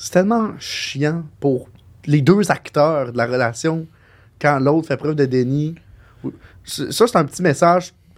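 A man speaks very slowly with a Quebec accent and ordinary pitch variation, leaving long, frequent pauses. The recording is very clean, with a silent background. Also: fairly high pitch for a man. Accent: Québécois French. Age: 20s. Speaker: podcast co-host. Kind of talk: casual chat.

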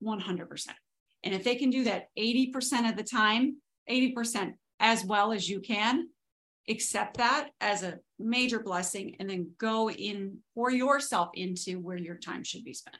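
Over a quiet background, a woman with an unremarkable speaking voice talks at a fairly slow pace, with ordinary pitch variation and big swings in loudness. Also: fairly high pitch for a woman. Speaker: podcast host. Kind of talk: casual chat.

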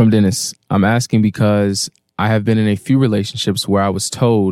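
In a plain, everyday voice, a man speaks at a fairly low pitch and a fairly quick pace with fairly even intonation, in a very clean recording with a silent background and a dry, close sound with no echo. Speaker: reads listener comments aloud. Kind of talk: reading aloud.

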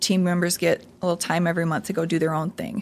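A woman with an Upper Midwest accent. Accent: Upper Midwest American. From South Dakota, Sioux Falls. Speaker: marketing agency CEO. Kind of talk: casual interview.

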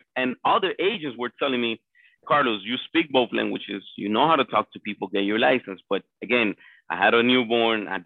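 A man speaks at a fairly quick pace with a Spanish accent. His pitch sits in the medium range. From Colombia. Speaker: real estate agent. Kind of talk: interview.

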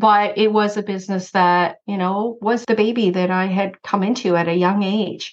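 A woman's medium-pitched voice at a moderate pace, flat and monotone, with hardly any pauses. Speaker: insurance broker and consultant. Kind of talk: casual interview chat.

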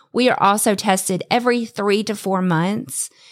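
A woman with an ordinary speaking voice, medium pitch and ordinary pitch variation, on a very clean recording with a silent background. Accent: American. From US South. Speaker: swinger podcast co-host. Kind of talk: casual interview.

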